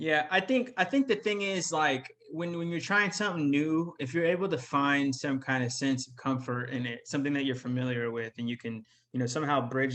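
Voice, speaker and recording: A man uses an ordinary speaking voice with an American accent, medium pitch, ordinary pitch variation and a fairly quick pace. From Sacramento, California. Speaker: public relations manager. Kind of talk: casual interview chat.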